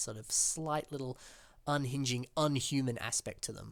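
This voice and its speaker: A man speaks with an Australian accent at a moderate pace, his pitch sitting mid-range. The recording is very clean, with a silent background. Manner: casual, conversational.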